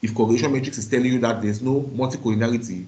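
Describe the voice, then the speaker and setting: Amid audible room echo, a somewhat breathy man with a dark, mellow tone and medium pitch talks at a very fast pace with fairly even intonation. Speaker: university lecturer. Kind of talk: lecture.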